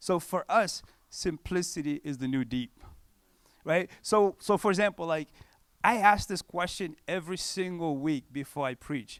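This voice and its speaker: A man's high voice with a non-native accent, at a moderate pace with ordinary pitch variation. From Cape Verde, West Africa. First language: not English. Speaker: pastor. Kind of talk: conference talk. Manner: animated; casual, conversational.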